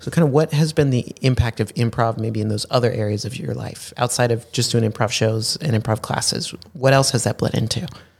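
A man's voice, somewhat breathy, moves along at a fairly quick pace. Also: medium pitch for a man, ordinary pitch variation. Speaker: podcast host. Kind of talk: casual interview chat. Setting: studio.

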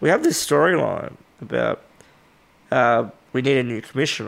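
Fairly slow speech from a man in an Australian accent. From Western Australia (Albany). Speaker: professional wrestler. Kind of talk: casual interview chat. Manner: animated, laughs often.

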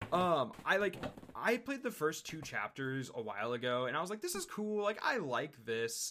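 Speaking at a moderate pace, a man with a fairly high pitch uses very wide pitch swings and a bright, sharp tone. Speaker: site contributor. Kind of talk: casual chat.

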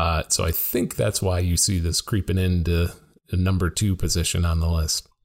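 Somewhat breathy and very deep, this man's low voice moves at a moderate pace with fairly even intonation and very even loudness. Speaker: accreditation expert. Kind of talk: casual interview chat. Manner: joking, light-hearted.

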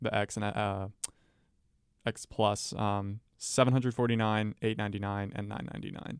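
An ordinary speaking voice at a moderate pace with fairly even intonation. The recording is very clean with a silent background. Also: man, dry, close sound with no echo. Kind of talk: radio dj patter.

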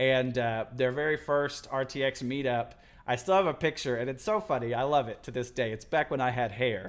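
A plain, everyday voice from a man with an American accent, medium in pitch, at a fairly quick pace with ordinary pitch variation. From Texas Panhandle, US. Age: 20s. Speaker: video editor. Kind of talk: casual chat.

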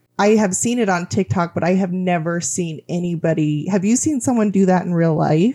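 With a normal speaking voice, a woman talks at a moderate pace in a fairly low pitch, with ordinary pitch variation. Her loudness stays very even and she leaves hardly any pauses. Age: 30s. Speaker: podcast guest. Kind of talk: casual chat.

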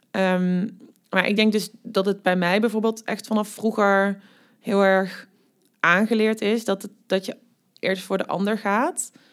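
A woman with a Limburg accent, medium-pitched, very slow and flat in intonation, on a very clean recording with a silent background. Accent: Limburg Dutch, soft G. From Netherlands, Limburg. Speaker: university diversity and refugee policy coordinator. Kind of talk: casual interview.

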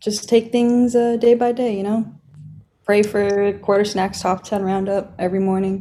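A woman's dark, mellow tone in a monotone, flat intonation. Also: medium pitch for a woman, moderate pace. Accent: Californian. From Los Angeles County. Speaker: sponsored skateboarder. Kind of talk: casual interview.

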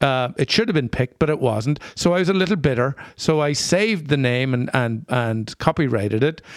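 A man with an Irish accent and a medium pitch talks at a fairly quick pace with hardly any pauses, lively intonation and very even loudness. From rural Northern Ireland. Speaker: podcast co-host. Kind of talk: casual interview chat.

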